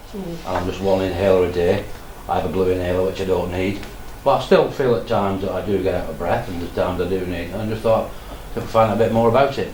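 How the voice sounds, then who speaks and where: A man talks at a very fast pace in a very deep, low pitch, with fairly even intonation, audible room echo and noticeable background noise. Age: 70s. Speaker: COPD patient. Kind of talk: casual group discussion.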